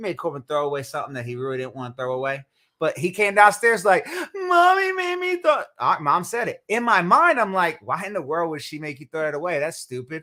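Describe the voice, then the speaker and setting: Bright and sharp in tone, a man's high voice moves at a fairly quick pace with lively intonation and big swings in loudness. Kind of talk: casual chat.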